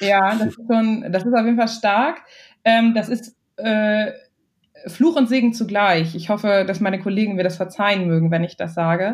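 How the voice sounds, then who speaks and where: At a moderate pace, a woman speaks with medium pitch, ordinary pitch variation, and a somewhat breathy quality. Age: 20s. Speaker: marketing and communications manager. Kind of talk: interview.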